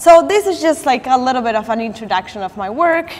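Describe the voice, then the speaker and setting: A woman with a Latin American accent speaks at a high pitch with lively intonation. Noticeable background noise is present. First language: Spanish. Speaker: artist. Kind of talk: artist talk with slides. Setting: gallery talk with audience. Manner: halting, with restarts and fillers.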